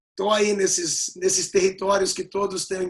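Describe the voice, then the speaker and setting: Speaking at a fairly slow pace, a man with a high-pitched voice keeps a monotone, flat intonation. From Rio Grande do Sul, raised in Rio de Janeiro from age six. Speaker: rabbi and writer. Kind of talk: interview on a talk show. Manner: halting, with many fillers.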